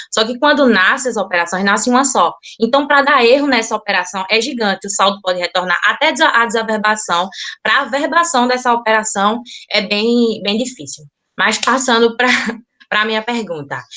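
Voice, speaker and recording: A woman speaks here at a fairly high pitch. Her intonation is lively. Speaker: loan broker / bank partner. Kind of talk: online business forum Q&A. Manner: fast.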